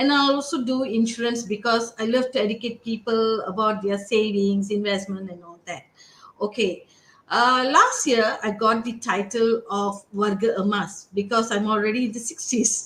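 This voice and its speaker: The clip carries a normal speaking voice at a moderate pace. Its intonation is fairly even. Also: woman, fairly high pitch for a woman. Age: 60s. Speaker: pageant finalist. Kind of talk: self-introduction on a live video session.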